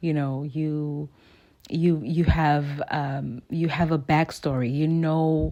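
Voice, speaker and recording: In a South African accent, a woman speaks with a very deep, low pitch. Her tone is dark and mellow, and her intonation fairly even. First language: isiXhosa. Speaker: artist. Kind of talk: casual talk while painting.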